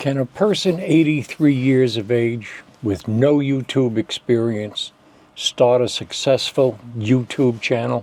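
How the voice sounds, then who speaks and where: Noticeable background noise sits under a man speaking at a very slow pace and a medium pitch, with ordinary pitch variation. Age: 80s+. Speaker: YouTuber and memoir author. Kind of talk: scripted talk to camera.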